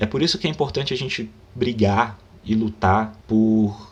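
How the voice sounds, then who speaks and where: Somewhat breathy male voice, fairly low in pitch, with ordinary pitch variation. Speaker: book commentator, writer. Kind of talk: book review monologue, unscripted. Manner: halting; animated.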